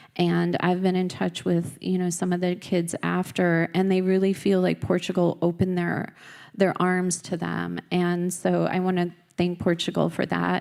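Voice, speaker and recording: A woman speaks with a slight Minnesota accent. The recording is very clean, with a silent background. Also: moderate pace. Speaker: US embassy representative, diplomat. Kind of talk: conference speech. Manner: many filler ums.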